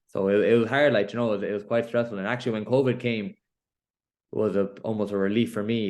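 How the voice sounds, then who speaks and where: A man talks at a very fast pace in a fairly low pitch. His intonation is monotone and flat, and the background is quiet. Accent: Galway. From Ireland, Connemara, Galway. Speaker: professional boxer. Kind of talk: interview. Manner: casual, filler-heavy.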